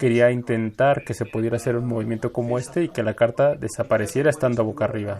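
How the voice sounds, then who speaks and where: The voice has a dark, mellow tone and moves at a fairly quick pace. Its pitch varies in an ordinary way. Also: man. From Latin America. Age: 40s. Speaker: magician and musician. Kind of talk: interview answering audience questions.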